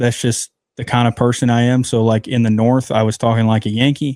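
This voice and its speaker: The man speaks at a medium pitch with monotone, flat intonation and a slight Southern US accent, in a dry, close sound with no echo. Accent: Southern US, slight twang. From moved from the northern US to the South. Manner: casual, chatty, many fillers.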